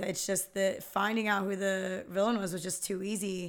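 A woman with an American accent speaks in a normal speaking voice. Her pitch is medium and her pace moderate. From Philadelphia area, US. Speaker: podcast guest, film fan. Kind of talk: casual chat.

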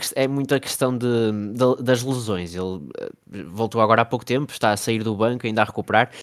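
A man talks in an ordinary speaking voice at medium pitch with ordinary pitch variation. His pace is fairly quick. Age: 20s. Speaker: NBA fan page creator. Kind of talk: casual chat.

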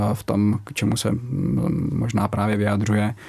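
A man at a fairly low pitch and a moderate pace. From Czech Republic, Brno (Moravia). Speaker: military pilot and reserve astronaut. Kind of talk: radio interview.

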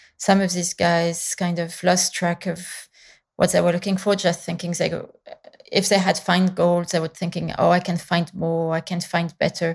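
Somewhat breathy speech at a moderate pace comes with a French accent. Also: woman. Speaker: painter. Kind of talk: interview. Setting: remote call.

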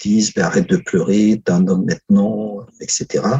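A man talks at a fairly slow pace in a fairly low pitch with ordinary pitch variation. He has an unremarkable speaking voice. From Africa. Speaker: historian. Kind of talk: interview.

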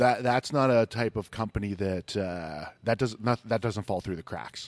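Speaking at a moderate pace with an American accent, a man has medium pitch, ordinary pitch variation, a plain, everyday voice, and a dry, close sound with no echo. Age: 40s. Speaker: podcast host. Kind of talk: casual interview. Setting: brewery in a cinema.

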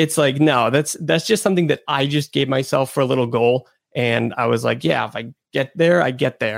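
A man's voice with vocal fry and ordinary pitch variation comes through a very clean recording, silent in the background, with a dry, close sound and no echo. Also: medium pitch for a man, moderate pace. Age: 20s. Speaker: YouTuber and YouTube educator. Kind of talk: casual interview conversation.

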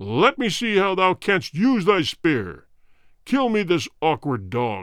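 Speaking in a put-on character voice, a man pitches himself high and makes very wide pitch swings. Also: fairly slow pace. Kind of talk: archaic formal speech. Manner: menacing, imperious.

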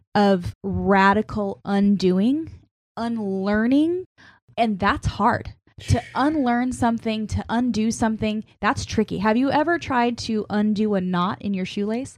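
Here is a woman with a normal speaking voice and a fairly high pitch. She talks at a fairly slow pace with ordinary pitch variation over a quiet background. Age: 30s. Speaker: youth pastor and church media director. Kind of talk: interview. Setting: studio.

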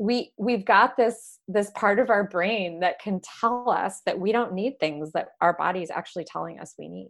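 A woman with an American accent uses a normal speaking voice at a moderate pace, with ordinary pitch variation and hardly any pauses. Her loudness swings widely on a very clean recording with a silent background. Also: medium pitch for a woman. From Michigan, US. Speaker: horse-based coaching ranch owner. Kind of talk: casual chat.

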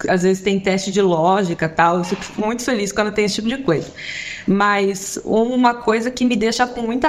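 Amid noticeable background noise, a woman speaks at medium pitch with fairly even intonation. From Brazil, São Paulo. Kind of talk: casual chat.

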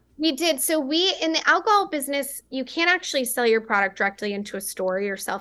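In a raised, projected voice with a bright, sharp tone, the speaker goes at a very fast pace with very wide pitch swings. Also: woman. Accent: American. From West Texas. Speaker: beverage company founder. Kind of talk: interview.

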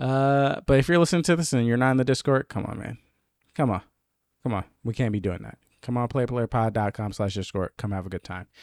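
In a very clean recording with a silent background and a dry, close sound with no echo, a man talks fairly quickly in an ordinary speaking voice at medium pitch with ordinary pitch variation. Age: 20s. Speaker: gaming podcast host. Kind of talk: casual chat.

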